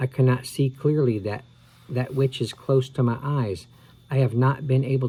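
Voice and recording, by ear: The speaker is reading aloud in a natural voice, and the intonation holds fairly even.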